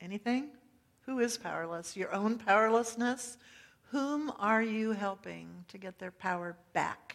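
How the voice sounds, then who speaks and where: Her voice sits fairly high for a woman, moving at a fairly slow pace with big swings in loudness. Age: middle-aged. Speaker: pastor. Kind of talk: sermon. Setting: church.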